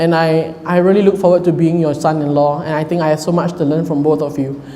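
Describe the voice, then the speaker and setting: Loud and at a very fast pace, a man speaks with audible room echo and noticeable background noise. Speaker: groom. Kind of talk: wedding speech. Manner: halting.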